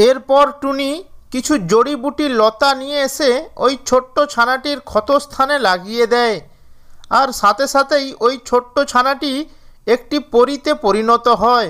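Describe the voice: A woman reads at a fairly slow pace with a high pitch, a fairly bright tone and ordinary pitch variation.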